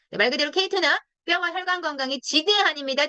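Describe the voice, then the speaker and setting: A woman with an animated tone at a very fast pace. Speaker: product lecturer for a direct-sales company. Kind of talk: online product lecture. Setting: video call.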